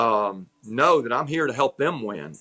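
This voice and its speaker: On a very clean recording with a silent background, a man speaks in a Southern US accent, the sound dry and close with no echo. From US South, North Georgia. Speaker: executive coach. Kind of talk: interview. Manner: repetitive, frequent restarts.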